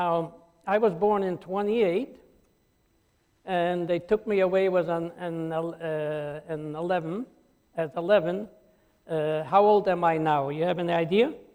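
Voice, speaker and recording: The speech is fairly slow, with long, frequent pauses. Its intonation stays fairly even. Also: man, high pitch for a man. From Poland. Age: 80s+. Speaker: Holocaust survivor. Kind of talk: testimony. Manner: halting.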